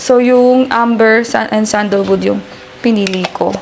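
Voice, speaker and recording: A woman speaks quietly and fairly slowly in a fairly high, flat monotone. Noticeable background noise runs underneath. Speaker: family vlogger. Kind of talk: casual vlog talk. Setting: at home. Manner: speaking quietly.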